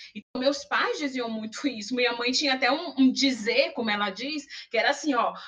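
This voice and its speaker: At a moderate pace, a woman uses a raised, projected voice with lively intonation. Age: 40s. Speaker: university lecturer and public relations professional. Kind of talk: podcast interview.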